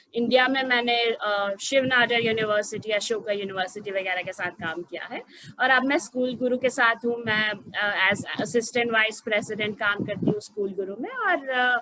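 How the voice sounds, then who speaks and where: A woman's fairly high voice with ordinary pitch variation and hardly any pauses, over noticeable background noise. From Gujarat, India. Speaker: program head in education. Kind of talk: information webinar presentation. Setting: online webinar. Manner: hesitant with many fillers.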